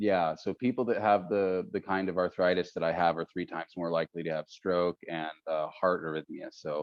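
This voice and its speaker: With a Northern California accent, a man talks in a very deep, low pitch and fairly even intonation. He keeps a moderate pace with hardly any pauses. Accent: Northern California American. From Northern California (Stockton). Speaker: podcast host. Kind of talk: casual interview conversation. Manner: halting, many fillers.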